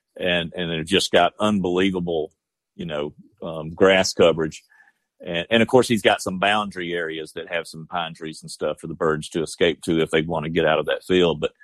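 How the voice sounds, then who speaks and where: A man speaks with a Georgia accent in a very deep, low voice. His pace is moderate and his pitch variation ordinary. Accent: southern US (Georgia). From southwest Georgia, US South. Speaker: bird dog breeder and upland hunter. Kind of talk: casual interview. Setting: phone call. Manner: halting, many fillers.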